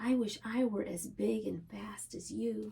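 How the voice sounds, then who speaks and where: A woman performs in a put-on character voice. Her pace is fairly slow. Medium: read story.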